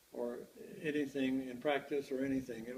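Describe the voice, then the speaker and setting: This voice has an American accent and a flat, monotone delivery. The pace is moderate. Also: man. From Kentucky. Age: 80s+. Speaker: war veteran. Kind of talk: oral history interview. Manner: halting.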